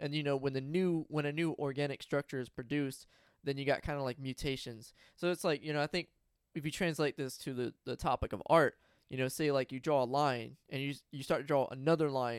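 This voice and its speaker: A man with fairly high pitch talks at a fairly quick pace and keeps his intonation fairly even. The recording is very clean, with a silent background and a dry, close sound free of echo. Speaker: podcast host. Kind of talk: casual chat. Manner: rambling, halting.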